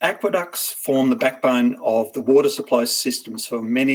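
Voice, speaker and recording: A man talks at a moderate pace. His pitch is medium with ordinary variation. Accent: Australian. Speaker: company presenter. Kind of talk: business pitch presentation.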